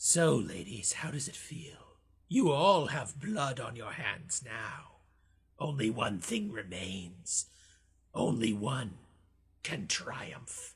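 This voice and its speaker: A man's raspy put-on character voice at medium pitch, very slow, with very wide pitch swings and big swings in loudness. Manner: menacing, triumphant.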